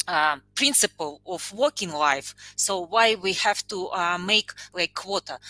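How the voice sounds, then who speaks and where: This woman's medium-pitched voice has a bright, sharp tone, a dry, close sound with no echo, and a fairly slow pace. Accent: non-native. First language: not English. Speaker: panel guest. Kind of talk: panel discussion. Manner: halting, many fillers.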